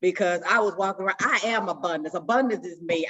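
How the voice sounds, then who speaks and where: An animated woman speaks at a very fast pace, her medium pitch showing ordinary variation. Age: 60s. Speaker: support circle member. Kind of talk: group sharing, casual.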